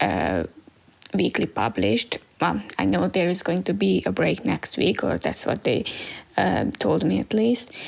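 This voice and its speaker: Noticeable background noise surrounds a woman with a non-native accent and a very deep, low pitch. She talks at a fairly slow pace with very wide pitch swings. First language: not English. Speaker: podcast host, manga reviewer. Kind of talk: casual solo podcast review. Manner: hesitant, many fillers.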